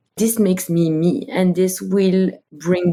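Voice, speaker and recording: Recorded very cleanly against a silent background, a woman with a French accent speaks at a fairly low pitch. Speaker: company co-founder and CEO. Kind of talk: interview.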